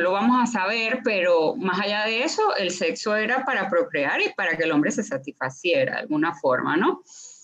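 A woman at medium pitch talks at a moderate pace with hardly any pauses and very wide pitch swings, over noticeable background noise. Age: 40s. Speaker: sex and relationship coach. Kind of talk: casual interview chat. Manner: animated.

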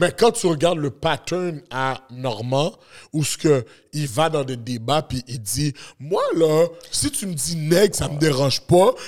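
A man speaks very slowly at a fairly high pitch. His pitch varies in an ordinary way. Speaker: podcast co-host. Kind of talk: casual banter.

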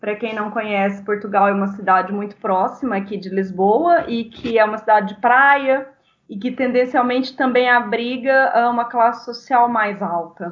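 In a normal speaking voice, a woman talks at a moderate pace in a fairly high pitch with ordinary pitch variation and hardly any pauses. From Brazil, small town. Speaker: psychologist and migrant rights activist. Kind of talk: casual interview.

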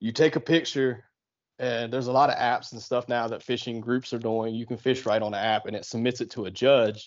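Speaking at a fairly quick pace, a man with an American accent has a plain, everyday voice at a medium pitch and fairly even intonation. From southeastern Ohio, on the Ohio River. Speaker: kayak fishing tournament organizer. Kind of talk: casual interview.

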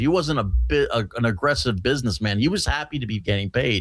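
Over a quiet background, a man with vocal fry talks very fast at a medium pitch, his voice swinging very widely up and down. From North America. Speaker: comedian. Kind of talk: casual chat.

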